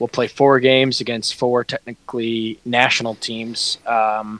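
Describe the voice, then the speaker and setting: The sound is dry and close, with no echo. The speaker is a man. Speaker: sports podcast co-host. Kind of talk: casual sports chat. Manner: enthusiastic.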